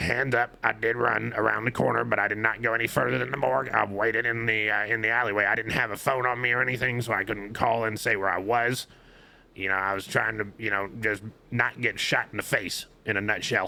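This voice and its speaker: Using a put-on character voice, a man speaks with a raspy, medium-pitched sound at a fairly quick pace and with fairly even intonation. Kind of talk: courtroom testimony. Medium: machinima. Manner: rambling, filler-heavy, deferential.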